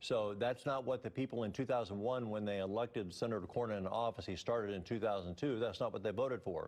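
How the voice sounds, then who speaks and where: Over a quiet background, the speech runs at a very fast pace with hardly any pauses. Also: man, medium pitch for a man. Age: 60s. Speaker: political candidate. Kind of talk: TV interview. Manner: halting, many repeats and fillers.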